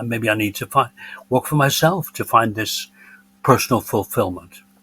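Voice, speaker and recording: With an English accent, a man talks at a moderate pace in dry, close sound with no echo. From northern England, Bolton, Lancashire. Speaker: retiree and former business executive. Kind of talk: podcast interview, personal storytelling.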